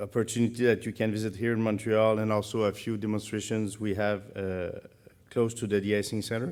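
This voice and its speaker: With a Quebec accent, a man speaks at a fairly quick pace in a fairly low, flat monotone, recorded very cleanly over a silent background. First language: French. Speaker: conference organizer. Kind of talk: event announcements. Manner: halting.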